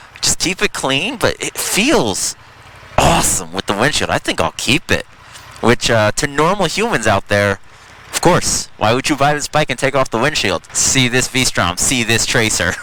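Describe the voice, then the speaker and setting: Over noticeable background noise, a man at a medium pitch talks at a moderate pace with very wide pitch swings. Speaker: motorcycle YouTuber. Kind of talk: casual ride-along vlog.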